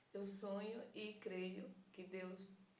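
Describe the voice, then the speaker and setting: There is noticeable background noise. Audible room echo surrounds the voice. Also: woman. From Northeast Brazil, Sergipe (Aracaju). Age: 60s. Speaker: YouTuber telling life story. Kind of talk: personal testimony.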